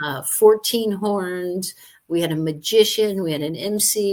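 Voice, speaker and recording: A woman with an ordinary speaking voice talks at a fairly slow pace, with medium pitch and ordinary pitch variation. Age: 60s. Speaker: Air Force veteran and truck driver. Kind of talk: interview.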